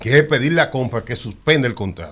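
Vocal fry at a moderate pace. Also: man. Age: 60s. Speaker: public procurement expert. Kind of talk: radio interview.

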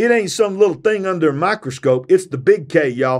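An animated male voice with very wide pitch swings over a quiet background. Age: 50s. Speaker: preacher and podcast host. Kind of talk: sermon. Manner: animated, fervent preacher's delivery; loud, rousing call-and-response pitch.

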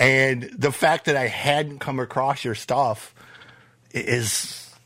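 A man speaks fairly slowly. He has an American accent. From US Midwest, Flint, Michigan. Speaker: podcast host. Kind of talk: casual chat.

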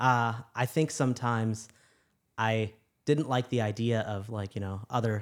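A man's medium-pitched voice with an American accent, on a very clean recording over a silent background. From US Midwest, Chicago. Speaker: physician. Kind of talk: casual chat.

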